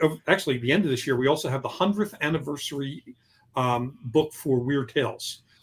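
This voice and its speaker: Here a man speaks at a fairly quick pace. His pitch variation is ordinary. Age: 60s. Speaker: novelist. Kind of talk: interview. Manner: halting.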